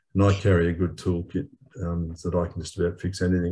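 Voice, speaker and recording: A man with an Australian accent, very deep and low in pitch, with a dark, mellow tone, somewhat breathy, fairly even intonation and a moderate pace. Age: 70s. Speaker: webinar panellist, wheelchair traveller. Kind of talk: panel discussion.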